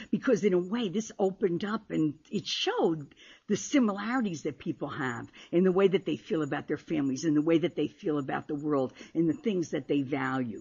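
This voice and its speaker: This is a normal speaking voice, a woman's, pitched fairly low. She talks at a fairly quick pace with lively intonation. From Paterson, New Jersey (Italian-American family). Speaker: poet. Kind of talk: poetry reading. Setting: stage with audience.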